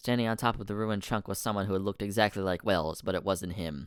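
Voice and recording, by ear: Someone reads aloud. The voice sounds natural.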